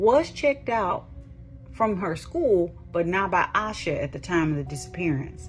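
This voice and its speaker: Music plays behind a woman as she speaks at an average speed. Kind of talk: true crime podcast narration. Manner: calm, immersive.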